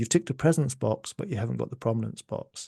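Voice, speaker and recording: With a Scottish accent, the speaker uses a dark, mellow tone with vocal fry against a quiet background. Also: man. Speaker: music economist. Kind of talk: podcast interview. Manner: animated.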